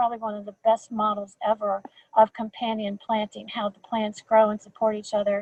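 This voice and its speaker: Fairly quick in pace, a woman talks in a fairly high voice. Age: 60s. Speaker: school garden leader. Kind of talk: webinar talk. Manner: halting, many repetitions.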